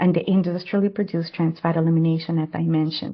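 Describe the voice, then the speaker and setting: Here a woman has an unremarkable speaking voice at a fairly low pitch. She speaks with fairly even intonation. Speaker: public health adviser. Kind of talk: webinar presentation. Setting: online webinar.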